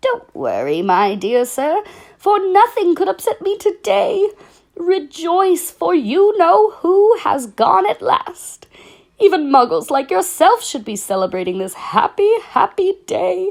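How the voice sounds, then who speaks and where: A squeaky put-on character voice at an extremely high pitch and a fairly slow pace. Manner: joyful, elated.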